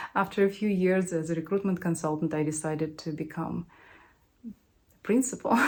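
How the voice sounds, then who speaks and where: A woman talks at a fairly quick pace. She speaks with a non-native accent. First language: not English. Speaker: recruiter. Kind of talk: casual chat.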